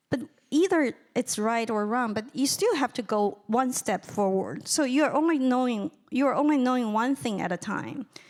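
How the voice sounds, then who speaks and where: In a Chinese accent, a woman with a high pitch talks at a moderate pace. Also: lively intonation. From China. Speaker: writer and lecturer. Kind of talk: audience Q&A answer. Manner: halting, repetitive starts.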